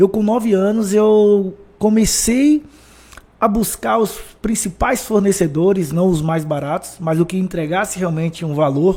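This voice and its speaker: A man with a Bahian accent at a high pitch, fairly slow, with ordinary pitch variation and noticeable background noise. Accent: Bahian (northeastern Brazilian). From Brazil, Bahia (Feira de Santana). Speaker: motivational speaker, former footballer. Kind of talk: podcast interview.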